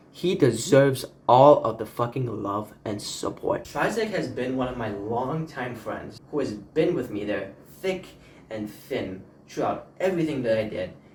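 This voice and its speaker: The speech comes at a fairly slow pace with audible room echo around it. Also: man, medium pitch for a man, lively intonation. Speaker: YouTuber, launchpad music creator. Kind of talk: casual vlog monologue. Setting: talking to camera.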